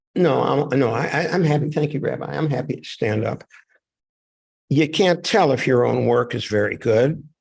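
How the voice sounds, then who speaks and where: At a moderate pace, a man with a fairly high voice speaks with vocal fry and ordinary pitch variation. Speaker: author. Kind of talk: reading event talk. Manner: loud.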